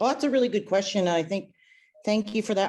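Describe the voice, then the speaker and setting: A woman's voice against a quiet background. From Alberta, Stoney Nakota reserve. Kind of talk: Q&A presentation. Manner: loud.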